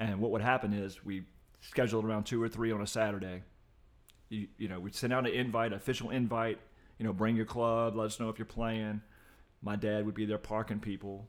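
Recorded very cleanly against a silent background, a man with an American accent talks at a fairly quick pace in a fairly low voice, his intonation monotone and flat. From Virginia, Richmond area. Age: 50s. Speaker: podcast guest and occasional co-host. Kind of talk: casual interview chat.

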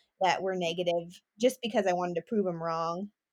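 A woman speaks in a plain, everyday voice at a medium pitch. She has an American accent and a fairly quick pace. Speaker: rodeo pageant titleholder. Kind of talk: casual interview.

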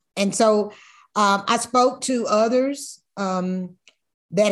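Fairly even intonation from a woman at medium pitch. Behind her the background stays quiet. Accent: American. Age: 60s. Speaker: master whiskey blender. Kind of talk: interview. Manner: halting.

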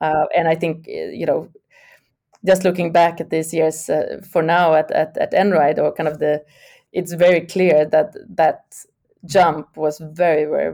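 A woman with a Swedish accent speaks at a fairly slow pace. Her dark, mellow tone stays monotone and flat. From Sweden. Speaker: tech executive. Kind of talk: interview. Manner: halting.

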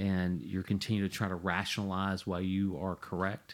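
A man speaks at a moderate pace in a very deep, low voice with a flat, monotone intonation. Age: 50s. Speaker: podcast co-host. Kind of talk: casual discussion. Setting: home shed studio.

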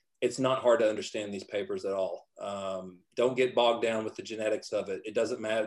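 Fairly quick delivery with fairly even intonation, in a Texan accent. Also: man. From Texas. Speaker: physician. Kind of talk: roundtable discussion.

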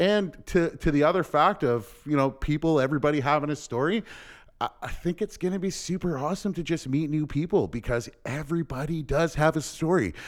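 A man with a Canadian accent uses a normal speaking voice, fairly high in pitch with ordinary variation. He talks at a fairly quick pace in a very clean recording with a silent background. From Windsor, Ontario, Canada. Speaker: podcast host. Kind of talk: casual chat.

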